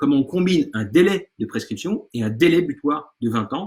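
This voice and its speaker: The man's voice sits high in pitch. It moves in very wide pitch swings. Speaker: law lecturer. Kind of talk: online lecture. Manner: fast.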